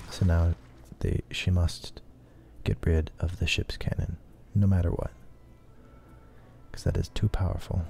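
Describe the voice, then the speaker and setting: With music in the background, a man speaks with long, frequent pauses. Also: moderate pace. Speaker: streamer. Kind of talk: casual gameplay commentary. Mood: thoughtful, calm. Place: home room.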